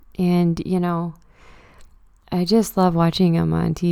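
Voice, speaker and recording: A woman with a Canadian Maritime accent, fairly low in pitch, dark and mellow in tone, at a moderate pace with monotone, flat intonation. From Nova Scotia, Canada (Truro). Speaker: podcast host. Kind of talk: casual solo monologue. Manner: casual, halting with fillers.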